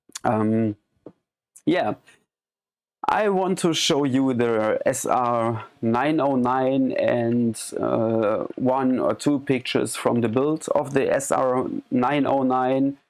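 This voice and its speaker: Speaking with a German accent, the voice moves at a very slow pace and keeps its loudness very even. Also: man, medium pitch for a man, ordinary pitch variation. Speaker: live streamer and electronic music hobbyist. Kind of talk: live stream demo. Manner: halting.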